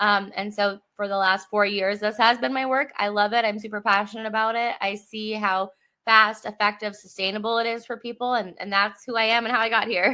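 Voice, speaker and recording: A woman's fairly high, bright, sharp voice with an American accent, fairly quick with hardly any pauses, in a monotone, flat intonation, on a very clean recording with a silent background. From US Midwest. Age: 30s. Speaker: psychedelic facilitator and coach. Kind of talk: interview.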